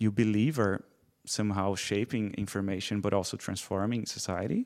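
With a Portuguese accent, a man speaks at a moderate pace with ordinary pitch variation in a very clean recording against a silent background. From Brazil. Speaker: PhD student, former scriptwriter. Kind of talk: live interview with audience. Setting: stage with audience.

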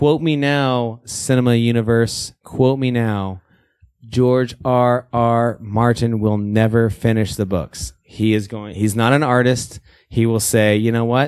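At a fairly slow pace, a man with a plain, everyday voice speaks at medium pitch with fairly even intonation, recorded very cleanly against a silent background. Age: 30s. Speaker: film podcast co-host. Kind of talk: casual chat.

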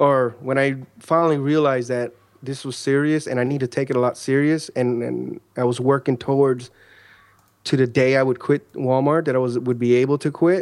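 At a moderate pace, a man talks in a normal speaking voice with fairly high pitch and fairly even intonation, recorded very cleanly against a silent background. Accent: American. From Chicago, Illinois. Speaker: online entrepreneur. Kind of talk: interview conversation.

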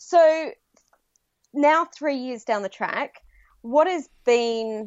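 With lively intonation, a woman speaks in an enthusiastic tone with an Australian accent. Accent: Australian, noticeable to US listeners. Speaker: podcaster and business consultant acting as guest host. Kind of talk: casual interview chat.

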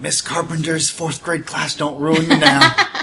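A man puts on a character voice pitched fairly high. He delivers it at a fairly slow pace. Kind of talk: muttered under the breath. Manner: mumbling.

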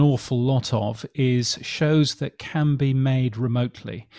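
A man with a British accent speaks at a medium pitch in a dark, mellow tone, in a very clean recording with a silent background. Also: dry, close sound with no echo. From England. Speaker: podcast industry newsletter editor. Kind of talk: interview.

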